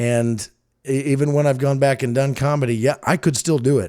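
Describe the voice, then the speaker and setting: A man with a dark, mellow tone speaks with ordinary pitch variation on a very clean recording with a silent background. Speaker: podcast host; stage actor and comedian. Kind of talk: casual podcast talk.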